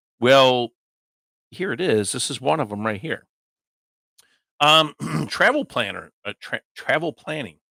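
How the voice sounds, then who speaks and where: Putting on a raspy character voice, a man speaks at a medium pitch and a moderate pace. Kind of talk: casual explaining.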